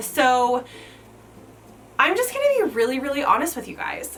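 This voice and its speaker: A woman with an American accent speaks at a high pitch. Her pitch swings very widely, and there is noticeable background noise. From US Midwest, rural Kansas. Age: 30s. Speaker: lifestyle vlogger. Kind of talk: casual Q&A vlog. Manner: chatty, filler-heavy.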